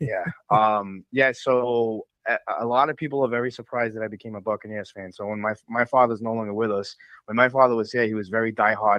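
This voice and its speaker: A man in a strong New England accent, medium in pitch, with fairly even intonation at a fairly quick pace. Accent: heavy New England. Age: 30s. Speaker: caller. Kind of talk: phone-in call. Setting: phone call.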